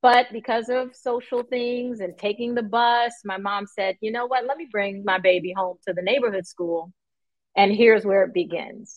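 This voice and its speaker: A woman with an American accent talks in a plain, everyday voice at a fairly high pitch. Her pitch varies normally and her pace is moderate. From New York. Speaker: math educator. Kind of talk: interview.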